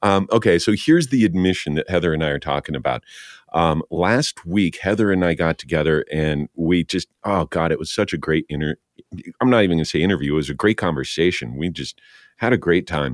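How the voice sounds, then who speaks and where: A man speaks at a very deep, low pitch with vocal fry. The pace is fairly quick, and the sound is dry and close with no echo. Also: ordinary pitch variation. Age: 50s. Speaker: podcast host and voice actor. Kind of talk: casual chat. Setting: video call.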